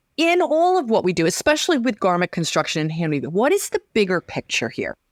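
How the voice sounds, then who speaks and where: The sound is dry and close with no echo. A woman speaks at a fairly high pitch with very wide pitch swings. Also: very clean recording, silent background. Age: 60s. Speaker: weaving and sewing teacher. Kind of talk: interview.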